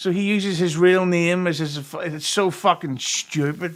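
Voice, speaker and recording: A man with a Derry accent talks at a fairly slow pace. His pitch is high, and his intonation stays fairly even. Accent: Northern Irish (Derry). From Northern Ireland, Derry. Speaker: podcast guest. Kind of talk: casual chat.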